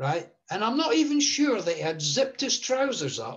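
Against a quiet background, a man talks with an Edinburgh accent. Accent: Scottish (Edinburgh). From Scotland, Edinburgh; Scotland. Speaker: table tennis player; guest. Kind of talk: interview storytelling. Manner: hesitant with many fillers. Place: home room. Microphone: video call.

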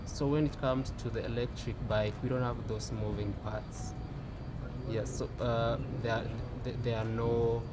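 A man speaking at a fairly slow pace, with long, frequent pauses and music in the background. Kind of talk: interview answer. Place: street.

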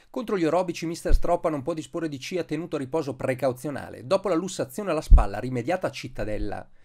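Speaking at a very fast pace with hardly any pauses, this voice has lively intonation, vocal fry, and big swings in loudness. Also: man, fairly high pitch for a man. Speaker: sports commentator. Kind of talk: sports match-report commentary, read as a polished recap voice-over. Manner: fluent, brisk and energetic, rattling off play-by-play with minute marks.

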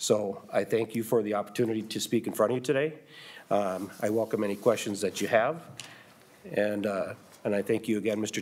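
Speaking with an American accent at a fairly quick pace, a man keeps a fairly low pitch and fairly even intonation, with long, frequent pauses. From US Midwest. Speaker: school superintendent. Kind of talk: legislative testimony. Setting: committee hearing room. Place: hall. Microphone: podium.

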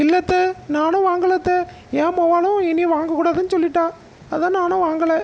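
A woman's cartoonish character voice, extremely high-pitched and monotone, flat, at a fairly slow pace over clear background noise.

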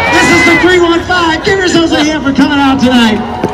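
A man talks with ordinary pitch variation over crowd noise in the background. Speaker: event co-host. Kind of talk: stage emcee address to crowd. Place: stadium. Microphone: pa.

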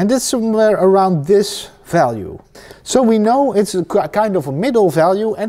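In a Dutch accent, the speaker talks at a fairly slow pace with a dark, mellow tone and very wide pitch swings. The background is quiet. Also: man. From Netherlands. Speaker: painting teacher. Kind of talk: tutorial. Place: workshop.

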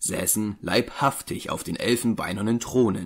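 A man uses an ordinary speaking voice, fairly low in pitch, at a fairly slow pace. The recording is very clean with a silent background. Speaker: audiobook narrator. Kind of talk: scripted narration, dramatic reading aloud of a horror tale. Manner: solemn, slow, ominous, building dread with an archaic storytelling cadence; formal, measured, grave.

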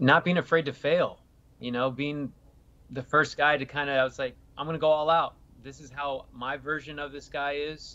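Pitched fairly high, a man speaks at a moderate pace in a monotone, flat intonation. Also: big swings in loudness. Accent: American. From Northern California, Sacramento. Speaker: actor. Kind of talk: interview. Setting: remote call. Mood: friendly, upbeat. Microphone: video call.

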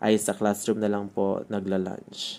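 A man's fairly low, dark and mellow voice, monotone and flat in intonation, at a fairly slow pace. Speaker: elementary school teacher. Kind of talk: vlog narration. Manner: polite, casual with fillers.

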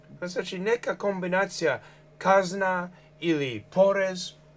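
This man has a high pitch and an English accent. Light background noise can be heard. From Canada, New Brunswick. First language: English (speaking Croatian). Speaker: journalist and political activist; journalist. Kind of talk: TV interview. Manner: halting. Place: studio. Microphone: lapel.

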